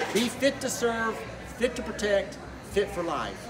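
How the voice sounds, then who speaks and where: A man speaks at a fairly slow pace. Background noise is noticeable. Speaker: fitness interviewer. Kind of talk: interview questions to camera. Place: gym. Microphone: phone near.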